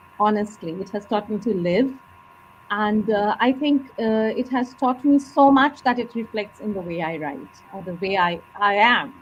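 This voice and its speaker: A woman with a Bengali accent, fairly high in pitch with lively intonation, at a moderate pace amid noticeable background noise. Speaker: author. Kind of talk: interview.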